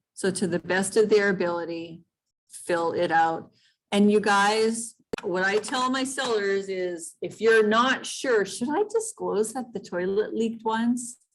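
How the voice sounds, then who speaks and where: Her delivery is fairly slow, and a woman's medium pitch shifts in an ordinary way. She uses a plain, everyday voice. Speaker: real estate trainer. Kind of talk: training session. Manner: casual.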